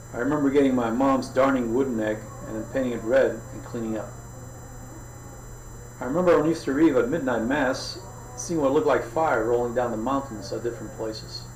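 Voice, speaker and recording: With music in the background, a man speaks with fairly even intonation and long, frequent pauses. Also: medium pitch for a man, fairly quick pace. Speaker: author. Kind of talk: audiobook reading.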